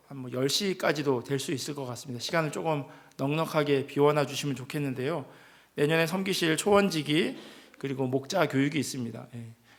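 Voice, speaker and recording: A man with a fairly high pitch speaks at a fairly quick pace, with ordinary pitch variation. His loudness swings widely, and the room echo is audible. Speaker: pastor. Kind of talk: church announcements. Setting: church. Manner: hesitant fillers.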